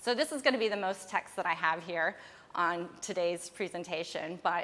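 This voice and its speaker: Lively intonation marks this woman's ordinary speaking voice, set at medium pitch. She talks at a fairly quick pace with an American accent. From United States. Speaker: archaeologist. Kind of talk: lecture. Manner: casual, with some false starts.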